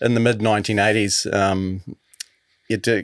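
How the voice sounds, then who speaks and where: In a New Zealand accent, a man talks with monotone, flat intonation at a fairly low pitch. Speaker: podcast host. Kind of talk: interview.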